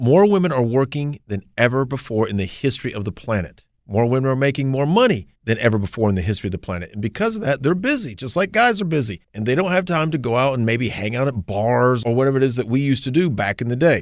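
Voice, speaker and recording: A man with an American accent talks at a very fast pace and medium pitch, with lively intonation and hardly any pauses. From North Carolina, Gaston County. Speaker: podcast host and former newspaper reporter. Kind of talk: casual chat and monologue.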